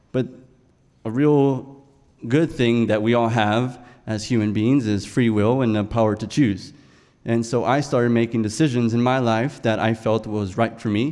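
Music plays behind a man speaking at medium pitch. His pace is moderate and his intonation fairly even. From South Texas. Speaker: storyteller. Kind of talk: live storytelling. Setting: stage with audience.

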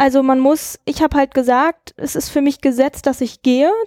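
The voice has a dark, mellow tone and a monotone, flat intonation at a moderate pace. The sound is dry and close, with no echo. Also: woman. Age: 20s. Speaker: guest taking a sabbatical. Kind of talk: casual chat.

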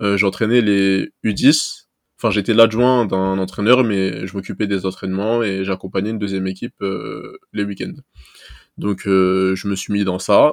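A man with a normal speaking voice and fairly low pitch speaks fairly slowly, keeping his intonation fairly even. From Paris region, Seine-Saint-Denis. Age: 20s. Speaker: amateur football scout. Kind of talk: casual interview.

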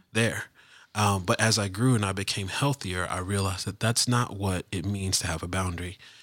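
An ordinary speaking voice from a man, fairly low in pitch, with fairly even intonation and a very clean recording against a silent background. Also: fairly quick pace. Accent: American. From US South. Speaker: podcast host and life coach. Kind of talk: casual chat.

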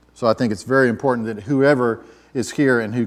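Here a man is talking. He has a Southern US accent. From US South, Atlanta, Georgia. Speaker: pastor. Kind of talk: sermon.

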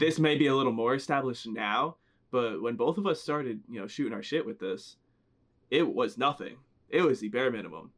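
Lively intonation marks this man's normal speaking voice, set at medium pitch. He talks at a fairly quick pace. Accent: American. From New Jersey. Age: 20s. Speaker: podcast co-host. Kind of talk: casual chat. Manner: casual, joking.

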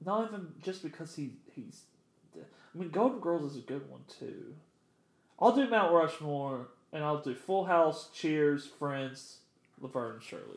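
A man with a plain, everyday voice talks at a fairly slow pace and a fairly high pitch. His intonation is lively, and his loudness swings a lot. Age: 20s. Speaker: podcast co-host. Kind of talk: casual chat.

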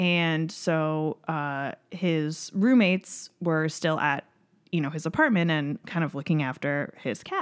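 Very slowly, a woman with an American accent speaks in a very deep, low voice with ordinary pitch variation, captured on a very clean recording with a silent background. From upstate New York. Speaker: comedian. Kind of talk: casual chat.

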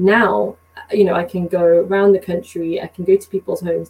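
A woman speaks very fast with a British accent and medium pitch. Her intonation is monotone and flat, with noticeable background noise. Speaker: community organizer and business professional. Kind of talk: casual interview discussion. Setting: video call.

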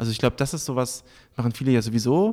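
Over a silent background in a very clean recording, a man talks at a very fast pace with a medium pitch. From Berlin, Germany. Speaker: journalist and event moderator. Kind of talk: interview. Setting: on location in a Berlin club.

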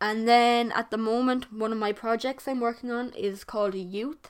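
A woman with an Irish accent speaks at a moderate pace, her pitch fairly high and her intonation fairly even. The recording is very clean, with a silent background. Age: young. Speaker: podcast host. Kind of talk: solo monologue. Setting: bedroom. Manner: casual, hesitant.

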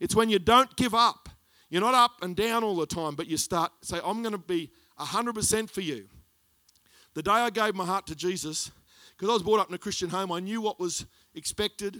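With an Australian accent, a man speaks at a moderate pace in a high, bright, sharp voice that is raised and projected, with ordinary pitch variation. The recording is very clean and dry, close and without echo, over a silent background. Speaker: pastor. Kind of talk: sermon. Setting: church.

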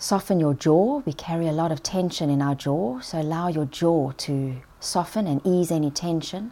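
Her fairly low pitch and dark, mellow tone come through at a moderate pace with ordinary pitch variation, the woman heard on a very clean recording with a silent background. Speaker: well-being expert and podcast host. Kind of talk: guided meditation, progressive relaxation exercise.

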